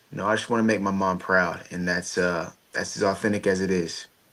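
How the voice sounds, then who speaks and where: Flat, monotone speech comes at a moderate pace in an American accent. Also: man. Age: 20s. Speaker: former baseball player and motivational speaker. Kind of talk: interview. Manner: conversational.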